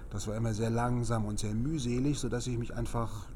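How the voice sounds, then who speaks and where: Audible room echo colors a man's voice, which shows ordinary pitch variation. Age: 50s. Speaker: speed-reading trainer. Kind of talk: interview.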